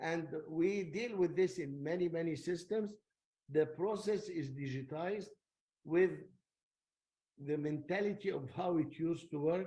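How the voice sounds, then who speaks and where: With audible room echo, a man with a high voice and a dark, mellow tone speaks at a fairly slow pace with ordinary pitch variation and long, frequent pauses. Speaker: technology lecturer. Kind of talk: lecture.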